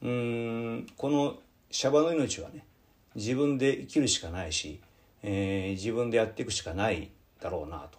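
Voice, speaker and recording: With a medium pitch and lively intonation, a man speaks with big swings in loudness. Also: moderate pace. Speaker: Buddhist priest and podcast host. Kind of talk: casual radio talk. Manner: relaxed, rambling.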